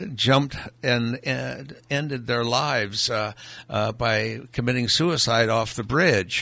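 With a bright, sharp tone and vocal fry, a man speaks at a fairly slow pace. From Hawaii. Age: 80s+. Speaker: vintner and philanthropist. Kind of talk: interview. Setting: studio. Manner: halting.

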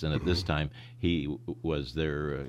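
Vocal fry at a moderate pace, with an American accent. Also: man. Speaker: sportscaster. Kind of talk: interview. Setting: radio studio.

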